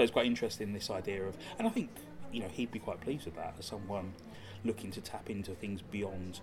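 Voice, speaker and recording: Noticeable background noise sits under speech that moves at a fairly quick pace with fairly even intonation. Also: man. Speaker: podcast co-host. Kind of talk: casual chat. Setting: coffee shop in a gallery. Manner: soft-spoken.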